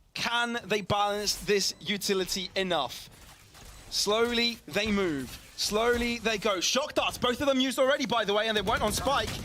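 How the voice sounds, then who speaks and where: Raised and projected, a man's high voice carries an animated tone, ordinary pitch variation and very even loudness. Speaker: esports caster. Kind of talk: live commentary. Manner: fast.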